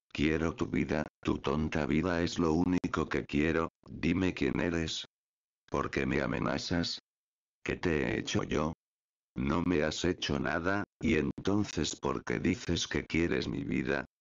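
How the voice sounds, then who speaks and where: Very deep and low, a man's voice moves at a very slow pace with vocal fry. His loudness stays very even, with ordinary pitch variation. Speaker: YouTuber. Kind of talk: creepypasta ghost story narration, hushed and ominous, with suspenseful pauses. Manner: casual, friendly YouTuber.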